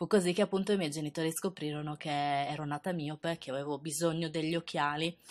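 Against a quiet background, a woman with a very deep, low pitch speaks at a very fast pace with hardly any pauses and fairly even intonation. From Sardinia, Italy. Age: 20s. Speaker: beauty youtuber. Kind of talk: personal storytelling narration.

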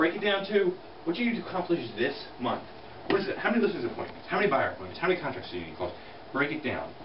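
With noticeable background noise behind him, a man speaks at a very fast pace. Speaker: real estate team leader. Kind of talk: motivational talk. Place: meeting room. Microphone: camera far.

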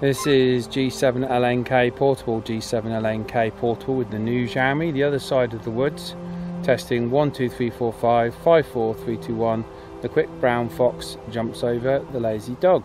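At a moderate pace, a man talks with fairly even intonation in a dry sound with no echo, with noticeable background noise behind him. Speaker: radio hobbyist reviewer. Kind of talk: radio test calls. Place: open country. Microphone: phone near.

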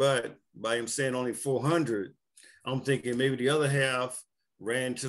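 Someone speaks with an American accent at a moderate pace against a quiet background. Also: man. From US South. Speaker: cult survivor. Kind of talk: interview. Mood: somber, recounting tragedy. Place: home room. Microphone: video call.

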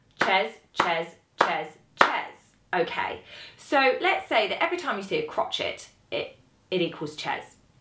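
Amid light background noise and audible room echo, a woman speaks at a fairly slow pace with long, frequent pauses. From Britain. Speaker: saxophone teacher. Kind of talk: tutorial. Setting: home recording with videographer. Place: home room.

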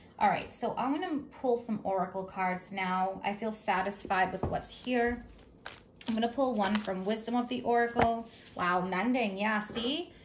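A woman talks with ordinary pitch variation, and noticeable background noise can be heard throughout. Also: moderate pace. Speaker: tarot reader. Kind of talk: tarot reading commentary. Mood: warm, reassuring.

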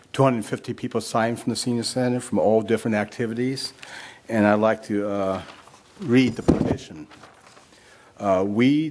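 A man talks at a moderate pace with fairly even intonation and long, frequent pauses. Noticeable background noise is present. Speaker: public commenter at council meeting. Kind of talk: public comment speech. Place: hall. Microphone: podium.

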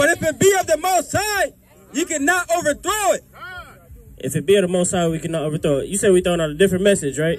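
Faint background noise is present. A man's speech comes very rapidly. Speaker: street preacher. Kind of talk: reading aloud. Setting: outdoors. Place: open country.

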